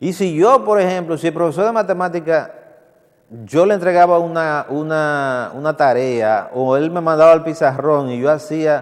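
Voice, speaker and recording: Speaking at a moderate pace, a man with a Dominican Cibao accent has a fairly high pitch and ordinary pitch variation. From Dominican Republic, Santiago. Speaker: TV culture show host. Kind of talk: TV commentary. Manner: halting with repetitions.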